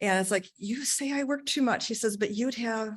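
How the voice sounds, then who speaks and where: A woman's fairly quick, lively-toned delivery in an ordinary speaking voice. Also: quiet background. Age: 60s. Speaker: job candidate, retired accountant. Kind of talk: job interview. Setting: township board meeting.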